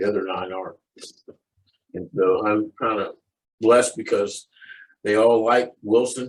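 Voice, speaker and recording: At a fairly slow pace and medium pitch, a man talks with fairly even intonation and long, frequent pauses. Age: 60s. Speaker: client sharing success story. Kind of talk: interview testimony. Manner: halting, many fillers and repeats.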